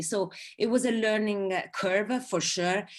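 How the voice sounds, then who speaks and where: A woman speaks with an Italian accent at a fairly slow pace. The background is quiet. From southern Italy. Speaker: advertising creative. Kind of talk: online talk interview. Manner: halting, many fillers.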